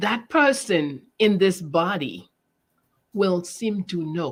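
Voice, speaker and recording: Fairly low in pitch, a woman talks at a very slow pace with lively intonation. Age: 70s. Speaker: educator and spiritual teacher. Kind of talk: interview. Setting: livestream.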